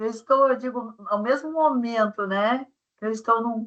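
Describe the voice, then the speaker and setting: A woman with an unremarkable speaking voice talks at a fairly high pitch and a fairly slow pace, with ordinary pitch variation. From southern Brazil, Rio Grande do Sul. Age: 60s. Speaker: webinar speaker on career development. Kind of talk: webinar talk.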